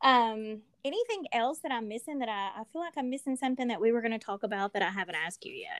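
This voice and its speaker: In a Southern US accent, a woman speaks very fast with hardly any pauses, her fairly high pitch swinging very widely, the sound dry and close with no echo. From US South. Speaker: podcast co-host and ministry partner. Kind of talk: casual chat and interview; promotional announcements.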